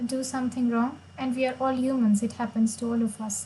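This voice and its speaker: In a Marathi accent, a woman speaks at fairly high pitch with monotone, flat intonation. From India, Maharashtra. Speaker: chess player and streamer. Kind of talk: live stream chess commentary.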